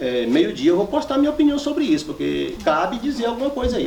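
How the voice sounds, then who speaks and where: Lively intonation from a man at a fairly quick pace, with noticeable background noise. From northwest Minas Gerais, Brazil. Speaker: rural land-rights leader and poet. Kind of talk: public talk to a live audience.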